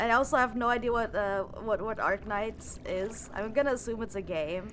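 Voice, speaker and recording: A woman speaks with a German accent. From Germany. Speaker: streamer. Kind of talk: casual live stream chat. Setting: live stream. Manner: halting, repeats words.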